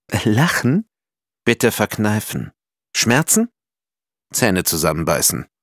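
On a very clean recording with a silent background and a dry, close sound with no echo, a man speaks very slowly in a fairly low voice with vocal fry, swinging very widely in pitch and leaving long, frequent pauses. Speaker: audiobook narrator. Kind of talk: children's picture book reading.

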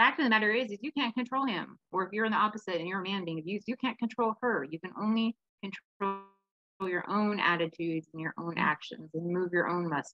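A woman with a Pacific Northwest accent talks at a very fast pace at medium pitch with ordinary pitch variation, in a dry sound with no echo against a quiet background. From Washington State, Kitsap County; Washington State. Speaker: domestic violence advocate and speaker. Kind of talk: interview. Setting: video call. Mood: earnest, reflective. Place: home room. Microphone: video call.

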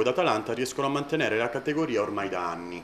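A man talks at a very fast pace. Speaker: interviewer reading fans' questions. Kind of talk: interview.

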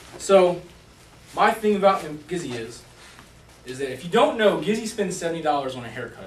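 A man talks at a fairly quick clip with very wide pitch swings and big jumps in loudness, over light background noise and audible room echo. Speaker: speaker. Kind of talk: comedic roast speech. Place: meeting room. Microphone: camera far.

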